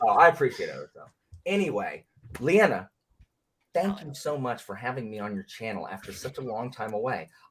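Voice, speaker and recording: A man's animated, medium-pitched voice, fairly quick, with very wide pitch swings and big swings in loudness. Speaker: book video creator. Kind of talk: casual chat.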